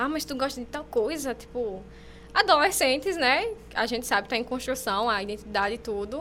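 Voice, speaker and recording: Lively intonation carries a bright, sharp tone. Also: woman. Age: 20s. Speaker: journalism student podcast co-host. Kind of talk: casual chat. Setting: studio.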